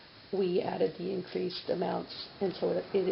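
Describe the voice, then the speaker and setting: Amid noticeable background noise and audible room echo, a woman talks at a fairly slow pace. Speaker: city finance official. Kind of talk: council meeting budget presentation. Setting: city council meeting.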